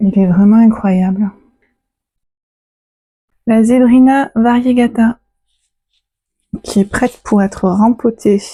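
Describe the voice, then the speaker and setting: A woman with a southern French accent speaks at a very slow pace with long, frequent pauses, her pitch fairly high and her intonation fairly even. Her tone is dark and mellow, somewhat breathy, with very even loudness. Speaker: plant and animal vlogger. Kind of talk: casual vlog talk to camera.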